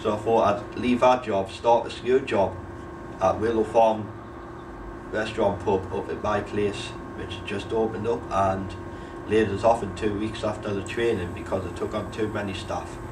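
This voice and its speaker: In a Geordie accent, a man with a fairly low pitch speaks at a moderate pace with monotone, flat intonation, amid noticeable background noise and audible room echo. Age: 20s. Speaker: unemployed young person. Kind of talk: documentary interview.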